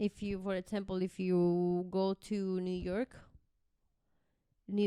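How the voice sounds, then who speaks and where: Speaking very slowly at a medium pitch, a woman with a slight Spanish accent uses a dark, mellow tone and a monotone, flat intonation. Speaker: podcast co-host. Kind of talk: casual chat.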